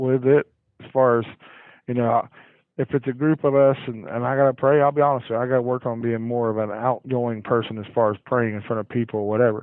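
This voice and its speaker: Fairly even intonation from a man, medium in pitch and moderate in pace. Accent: Southern US. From US South, Cherokee County, Georgia. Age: 40s. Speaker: high school football head coach. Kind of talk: casual interview chat. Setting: phone call.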